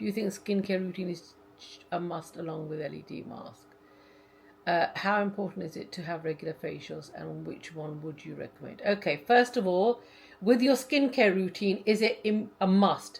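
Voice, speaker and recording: This woman talks with vocal fry, and her loudness swings widely. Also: medium pitch for a woman, lively intonation, moderate pace. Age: 50s. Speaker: lifestyle YouTuber. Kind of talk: live Q&A chat. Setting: live stream.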